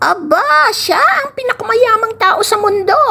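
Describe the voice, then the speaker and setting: Put-on character voice from a woman, extremely high-pitched, fairly slow in pace. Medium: read story. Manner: sly.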